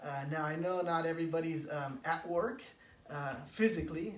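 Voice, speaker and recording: A man talks at a moderate speed in a fairly high voice, with some echo from the room audible around him. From California, San Francisco. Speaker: spiritual coach. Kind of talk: live stream talk. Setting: Facebook live stream. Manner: halting, many fillers.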